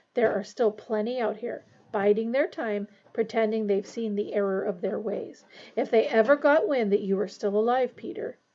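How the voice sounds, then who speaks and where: A put-on character voice from a woman, pitched fairly high and at a medium speed. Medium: read story. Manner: intense, menacing.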